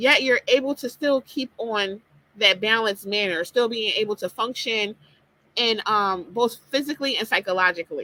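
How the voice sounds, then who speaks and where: A woman talks at a fairly slow pace with ordinary pitch variation, her tone bright and sharp, in a dry, close sound with no echo. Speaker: life coach and podcaster. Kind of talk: motivational talk. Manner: casual with fillers.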